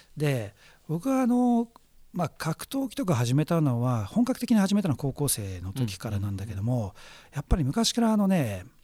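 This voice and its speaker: A man's fairly high, somewhat breathy voice with a dark, mellow tone swings very widely in pitch on a very clean recording with a silent background. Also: moderate pace. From Japan, Chiba (Yachiyo). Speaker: radio host, cultural analyst. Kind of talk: casual chat.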